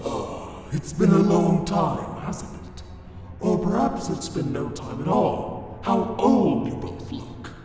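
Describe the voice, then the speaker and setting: Through a strong echo, a man does a cartoonish character voice, pitched high and delivered at a fairly slow pace. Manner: calm, softly mocking.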